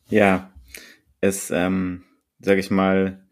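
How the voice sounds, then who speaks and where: A dark, mellow tone from a man, captured on a very clean recording with a silent background. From Berlin. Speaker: podcast co-host. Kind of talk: casual chat.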